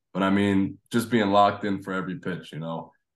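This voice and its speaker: Against a quiet background, a man with an American accent uses a normal speaking voice at a fairly low pitch. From New Jersey. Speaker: college baseball player. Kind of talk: interview.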